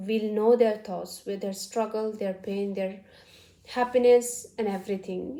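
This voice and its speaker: Noticeable background noise runs under this recording. A woman speaks with fairly even intonation. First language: not English; English is third language. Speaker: vlogger. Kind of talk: casual talk to camera. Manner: halting, many fillers.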